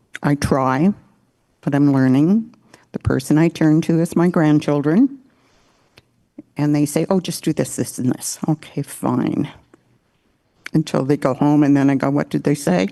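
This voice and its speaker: Her voice very deep and low, a woman speaks at a moderate pace with ordinary pitch variation, a dark, mellow tone, very even loudness, and long, frequent pauses, in a dry, close sound with no echo. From Walpole Island First Nation, Ontario. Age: 80s+. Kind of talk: opening address.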